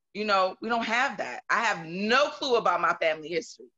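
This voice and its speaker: A woman is speaking. The background is quiet. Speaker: audience participant, domestic violence survivor. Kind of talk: personal testimony in panel discussion. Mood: animated, personal storytelling. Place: home room. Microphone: video call.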